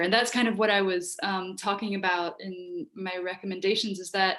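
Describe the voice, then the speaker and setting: This voice has an American accent and ordinary pitch variation. The pace is moderate. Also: woman. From US, Hungarian-speaking family. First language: Hungarian. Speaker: writer and writing teacher. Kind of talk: Q&A answer in online workshop. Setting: video call. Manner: casual with many fillers.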